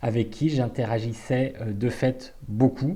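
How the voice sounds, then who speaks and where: Somewhat breathy and dark, mellow in tone, a man speaks at a medium pitch and a fairly slow pace. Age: 40s. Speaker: party activist. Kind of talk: personal testimony. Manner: hesitant, many fillers.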